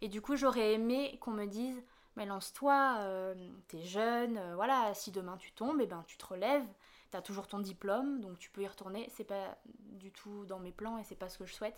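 Medium-pitched woman's voice at a moderate pace, with ordinary pitch variation and big swings in loudness. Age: 20s. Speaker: artist and trainee interior decorator. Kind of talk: interview. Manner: halting, with frequent hesitations.

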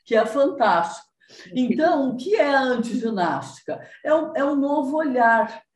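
Audible room echo surrounds the voice of a woman. She sounds somewhat breathy and keeps a moderate pace. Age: 60s. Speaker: body movement teacher. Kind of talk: interview.

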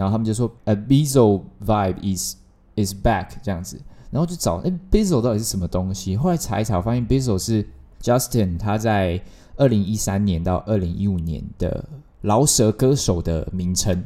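This man's voice has a dark, mellow tone and a fairly low pitch. His pitch varies in an ordinary way. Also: moderate pace. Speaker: podcast host. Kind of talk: casual solo monologue. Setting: home bedroom.

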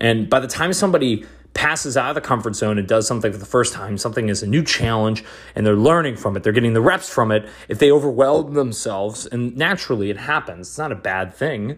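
A man speaks at a very fast pace in an energetic tone. His pitch is medium, and his intonation is lively. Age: 20s. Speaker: podcast host. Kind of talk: motivational solo monologue.

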